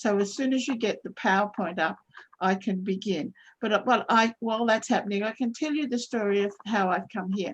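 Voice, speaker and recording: A woman speaks quite quickly in an Australian accent. Her fairly high voice sounds somewhat breathy. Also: ordinary pitch variation. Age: 70s. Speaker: trauma counsellor. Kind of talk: webinar talk. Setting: video call. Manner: halting, many self-corrections.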